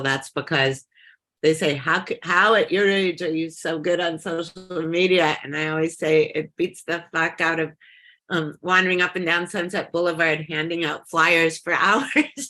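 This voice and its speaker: A woman with an American accent and fairly low pitch, music playing in the background. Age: 60s. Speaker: punk scene figure and author. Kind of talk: casual interview.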